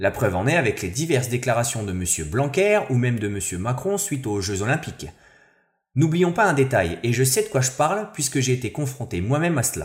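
Somewhat breathy and quick, a man talks at a medium pitch with very wide pitch swings on a very clean recording with a silent background. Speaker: sports columnist. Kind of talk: opinion column.

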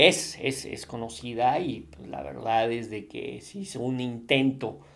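A man speaks with a central Mexican accent at a medium pitch. His pace is fairly slow, and his pitch varies in an ordinary way. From Mexico, Puebla. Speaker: podcast host, business consultant. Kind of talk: casual monologue. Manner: halting, many fillers and repetitions.

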